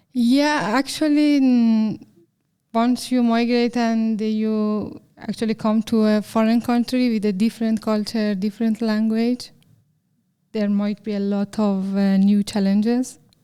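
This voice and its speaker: A woman with a Persian accent talks at a fairly slow pace in a fairly high pitch, her tone dark and mellow and her intonation fairly even. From Iran. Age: 30s. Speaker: software developer. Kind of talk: interview. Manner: halting, many fillers.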